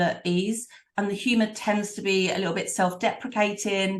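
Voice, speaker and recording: A somewhat breathy woman's voice at a fairly high pitch, with an East London accent. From London, East End. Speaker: professional speaker. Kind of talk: interview conversation.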